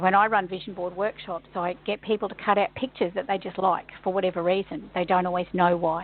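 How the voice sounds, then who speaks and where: A woman with an ordinary speaking voice, medium pitch and a fairly quick pace. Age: 60s. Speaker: kinesiologist and workshop facilitator. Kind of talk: radio interview.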